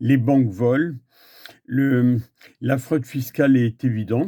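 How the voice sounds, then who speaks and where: Recorded very cleanly with a silent background, a man with a medium pitch speaks in a dark, mellow tone with ordinary pitch variation. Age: 60s. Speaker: activist. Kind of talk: public statement. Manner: hesitant, with filler sounds.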